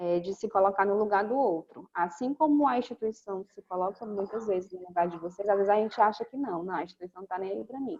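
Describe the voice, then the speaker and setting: Dark, mellow tone from a woman, medium in pitch and with ordinary pitch variation. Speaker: teacher in health-care course. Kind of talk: online class Q&A.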